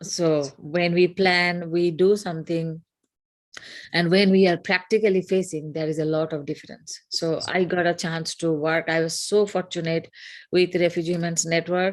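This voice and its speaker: A woman with a Bengali accent, fairly low pitch, moderate pace and monotone, flat intonation. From northeast India. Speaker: yoga program participant. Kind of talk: interview testimony. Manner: halting.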